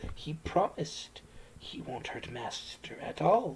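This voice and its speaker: Raspy and fairly slow, a man speaks in a put-on character voice. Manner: hissing, gloating.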